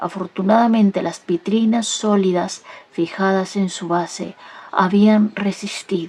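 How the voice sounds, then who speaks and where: Speaking at a fairly slow pace, a woman has a medium pitch and a dark, mellow tone. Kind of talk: soft audiobook-style reading, ASMR. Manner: soft-spoken, gentle, slow.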